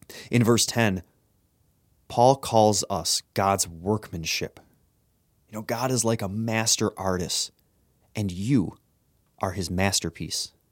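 At a very slow pace with long, frequent pauses, a man with an American accent speaks at a fairly low pitch with ordinary pitch variation, in a dry, close sound with no echo and a very clean recording with a silent background. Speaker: youth pastor. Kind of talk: devotional talk.

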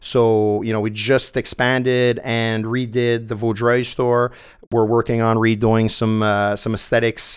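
A man's flat, monotone speech in a Quebec accent, at a fairly slow pace. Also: medium pitch for a man. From Quebec, Montreal South Shore. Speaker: entrepreneur. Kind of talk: interview.

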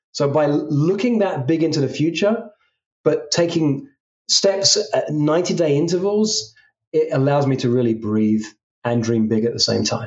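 A man's fairly high voice in an English accent, fairly slow, with lively intonation and very even loudness. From England, London. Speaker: executive coach. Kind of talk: interview.

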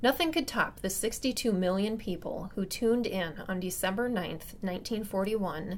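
A woman's medium-pitched, normal speaking voice with ordinary pitch variation. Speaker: podcast host narrator. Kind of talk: scripted narration.

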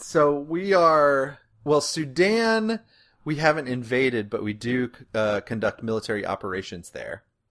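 A man with an American accent talks at a fairly slow pace with a fairly high pitch. His pitch swings very widely against a quiet background. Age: 30s. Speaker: podcast host, historian. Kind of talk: comedic casual chat.

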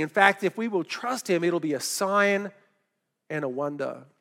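A man with an Australian accent uses a raised, projected voice with a bright, sharp tone. His pace is fairly slow and his intonation is lively. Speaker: pastor. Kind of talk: sermon. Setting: church.

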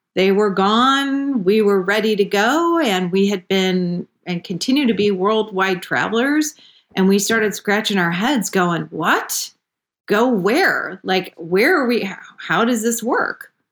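A plain, everyday voice: a woman at medium pitch, fairly slow, with lively intonation and very even loudness, on a very clean recording with a silent background. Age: 50s. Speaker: wellness and gardening expert. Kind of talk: interview.

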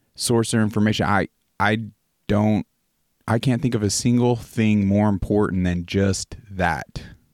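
A man at a fairly slow pace, very even in loudness, with a dry, close sound with no echo. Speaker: podcast host. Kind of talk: casual chat. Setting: video call. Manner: animated.

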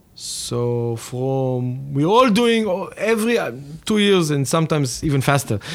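A man in an Israeli accent, fairly slow, with very wide pitch swings. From Israel, Tel Aviv. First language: Hebrew. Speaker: tech company co-founder. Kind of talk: interview. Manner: hesitant, many fillers.

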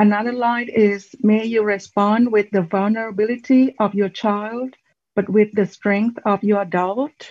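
The voice is somewhat breathy, with fairly even intonation and very even loudness. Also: woman, fairly high pitch for a woman. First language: not English. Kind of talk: personal testimony. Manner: halting.

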